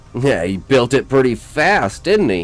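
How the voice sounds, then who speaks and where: A gruff, put-on character voice from a man, medium in pitch, with very wide pitch swings and a moderate pace. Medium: read story.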